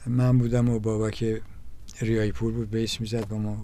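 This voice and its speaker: There is audible room echo as a man with a medium-pitched, dark, mellow voice speaks at a very fast pace. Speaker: drummer and music teacher. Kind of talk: interview. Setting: studio. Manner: halting.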